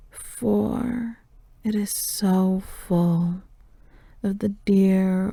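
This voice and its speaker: The speaker is whispering. The pace is very slow. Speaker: ASMR poetry reader. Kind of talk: poetry reading. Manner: whispered.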